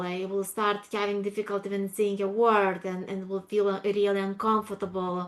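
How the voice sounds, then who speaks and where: Speaking at a moderate pace with a non-native accent, a woman uses a medium pitch and monotone, flat intonation. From Lithuania. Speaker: public speaker. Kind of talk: interview. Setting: video call.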